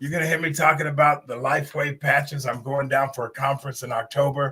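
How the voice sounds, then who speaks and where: Using a normal speaking voice, a man talks at a fairly quick pace with a fairly high pitch and fairly even intonation. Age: 60s. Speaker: talk show host. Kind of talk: live stream talk show. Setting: live stream.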